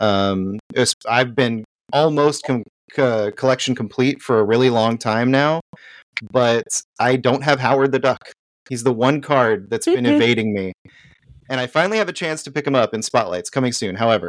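Long, frequent pauses breaking up a man's medium-pitched speech, moderate in pace and ordinary in pitch variation. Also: dry, close sound with no echo, very clean recording, silent background. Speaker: guest panelist. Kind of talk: casual chat.

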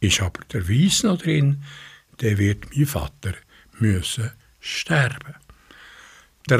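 A man is speaking. His pace is very slow. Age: 80s+. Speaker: community radio host. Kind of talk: radio presentation, partly reading a fairy tale.

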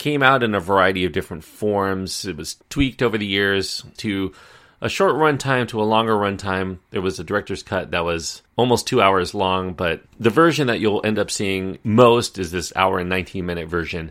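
A man with a normal speaking voice talks at a moderate pace with hardly any pauses, fairly low in pitch with ordinary pitch variation, on a very clean recording with a silent background. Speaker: film podcaster and reviewer. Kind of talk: film review podcast monologue, documentary-style narration. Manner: conversational, explanatory, even-paced; informative, measured, like a documentary guide.

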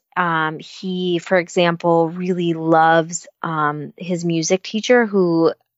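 A woman with an American accent, fairly low in pitch, in a monotone, flat intonation. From United States. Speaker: children's and YA novelist. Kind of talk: interview. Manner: hesitant, many fillers.

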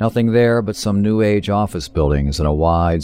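In a menacing tone, a man speaks at a moderate pace with ordinary pitch variation over noticeable background noise. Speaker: author reading own story. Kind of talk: horror audiobook narration, first-person. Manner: hushed, measured, coldly clinical and menacing.

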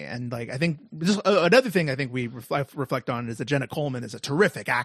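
A man speaks in a normal speaking voice with a fairly high pitch and lively intonation. The sound is dry and close, with no echo. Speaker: podcast co-host. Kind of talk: casual chat.

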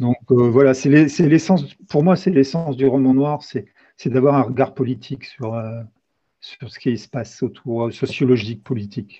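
This man's voice is somewhat breathy, and he speaks at a fairly slow pace. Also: medium pitch for a man, ordinary pitch variation, big swings in loudness. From eastern France. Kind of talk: interview. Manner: halting.

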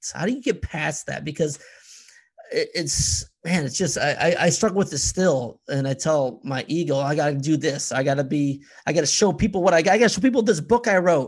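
Talking at a fairly quick pace, a man has a plain, everyday voice, pitched fairly high and with lively intonation. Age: 40s. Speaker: podcast host. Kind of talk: casual chat.

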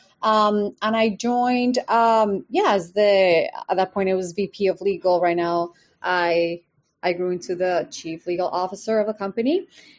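A woman's medium-pitched voice in a Spanish accent, ordinary pitch variation, a moderate pace, and a quiet background. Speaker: company legal executive, lawyer. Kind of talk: casual interview.

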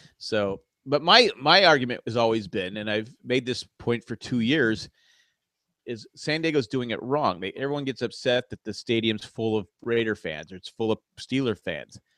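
A man's bright, sharp voice at a moderate pace, with ordinary pitch variation and a dry, close sound with no echo. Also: medium pitch for a man. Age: 50s. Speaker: podcast co-host. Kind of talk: casual chat. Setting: video call.

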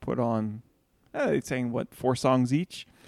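In a normal speaking voice, a man of medium pitch talks with ordinary pitch variation, the sound dry and close with no echo. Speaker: podcast co-host.

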